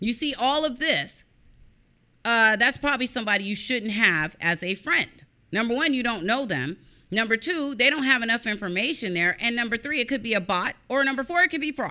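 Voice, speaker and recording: A woman speaks at a fairly high pitch and a fairly quick pace, animated and bright with a sharp tone. Her intonation is lively, and the very clean recording has a silent background. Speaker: online show host on cybercrime. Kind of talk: casual vlog chat, venting. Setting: live stream.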